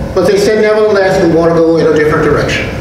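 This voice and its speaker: Strong room echo and noticeable background noise accompany a man whose pitch varies in an ordinary way. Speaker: pastor. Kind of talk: sermon. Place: church. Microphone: podium.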